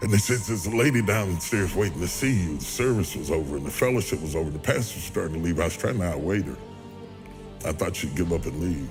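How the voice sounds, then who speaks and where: With music in the background, a man with an American accent and a very deep, low pitch talks at a very fast pace. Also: lively intonation. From West Virginia, USA. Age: 60s. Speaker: preacher. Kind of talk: speech to an audience, personal testimony.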